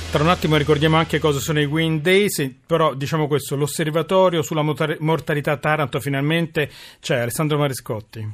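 On a very clean recording with a silent background, a man with an ordinary speaking voice talks fairly quickly at a fairly high pitch, keeping very even loudness and fairly even intonation. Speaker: radio host. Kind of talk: radio talk show.

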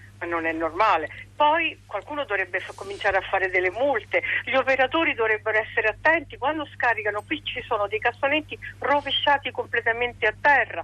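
Speaking fairly quickly, a woman uses a high pitch with very wide pitch swings. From Rome, Italy. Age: old. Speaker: radio caller. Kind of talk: casual chat.

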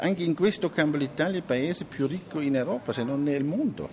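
Against noticeable background noise, a man with a German accent speaks fairly quickly at a fairly high pitch. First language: German (speaking Italian). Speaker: library director. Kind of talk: interview.

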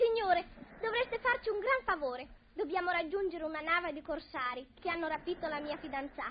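The delivery is animated and theatrical, with lively intonation and a fairly quick pace. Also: woman, extremely high pitch for a woman. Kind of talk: old-time radio play. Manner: animated, theatrical, excitable, comically melodramatic.

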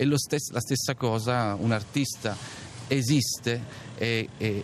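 A man with medium pitch and a normal speaking voice. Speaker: stage actor. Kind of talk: interview. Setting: outdoors in a town square.

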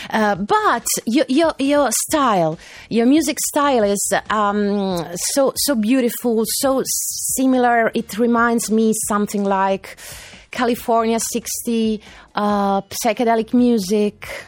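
Delivered at a very slow pace, the voice keeps very even loudness and ordinary pitch variation. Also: woman, fairly high pitch for a woman. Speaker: radio host. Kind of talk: radio music show with interview.

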